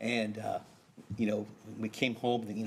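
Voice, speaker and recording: At a very fast pace, a man speaks in a medium-pitched voice. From US Southeast. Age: 60s. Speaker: neighborhood council representative. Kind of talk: personal testimony. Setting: city council meeting.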